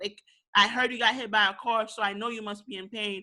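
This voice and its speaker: In a Haitian accent, a woman speaks at a fairly high pitch with an animated, bright, sharp tone on a very clean recording with a silent background. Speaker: podcast co-host. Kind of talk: casual discussion.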